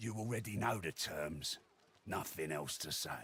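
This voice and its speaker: A man puts on a raspy character voice with a fairly low pitch. His intonation is lively and his pace moderate. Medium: video game. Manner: gruff, threatening.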